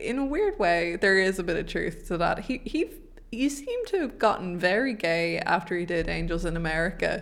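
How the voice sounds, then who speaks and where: This speaker talks at a moderate pace with an Irish accent. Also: woman. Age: 20s. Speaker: podcast co-host. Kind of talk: casual chat. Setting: home studio.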